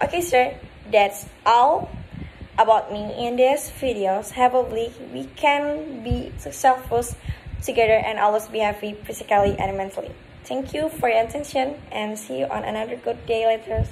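Over light background noise, a woman with an Indonesian accent talks at a moderate pace, her fairly high pitch carrying lively intonation. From Bengkulu, Indonesia. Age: young. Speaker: university student. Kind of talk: class assignment self-introduction. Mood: friendly, smiling. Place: home room. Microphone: phone near.

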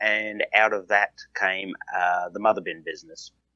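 A man with an Australian accent talks at a moderate speed. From southeast Australia. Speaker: farmer and entrepreneur. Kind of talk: casual interview.

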